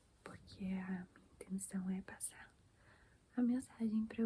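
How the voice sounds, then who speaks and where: Soft-spoken and somewhat breathy, a woman of medium pitch speaks very slowly in a dark, mellow tone with monotone, flat intonation. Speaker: ASMR creator. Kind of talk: casual chat.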